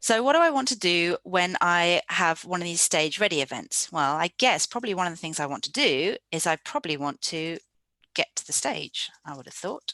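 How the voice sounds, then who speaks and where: A woman with an English accent, fairly low pitch, bright, sharp tone, lively intonation, moderate pace and big swings in loudness, in a dry, close sound with no echo. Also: quiet background. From England. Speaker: software developer and conference speaker. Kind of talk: live coding presentation. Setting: virtual meetup video session.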